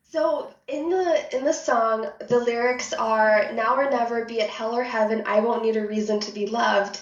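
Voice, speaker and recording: With an American accent, a woman speaks at a moderate pace with ordinary pitch variation and hardly any pauses, and audible room echo can be heard. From United States (moved from Russia at age three). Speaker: tech company manager, women in tech network co-founder. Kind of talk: casual interview.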